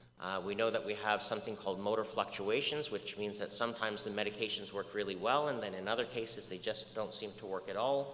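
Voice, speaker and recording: Audible room echo surrounds a man speaking at a very fast pace. His fairly low voice keeps a fairly even intonation. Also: hardly any pauses. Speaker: research scientist lecturer. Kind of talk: lecture.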